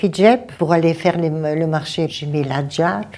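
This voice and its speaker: With a Bulgarian accent, a woman speaks in a dark, mellow tone at a fairly low pitch. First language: Bulgarian (speaking French). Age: 70s. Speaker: retired midwife. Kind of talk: interview testimony. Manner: halting.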